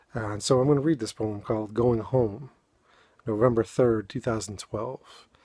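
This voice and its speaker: Using fairly even intonation and a moderate pace, a man with a fairly low pitch speaks in a New England accent. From New England, Boston (Dorchester). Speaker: amateur poet and video blogger. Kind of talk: casual talk introducing poetry readings. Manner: halting, many fillers.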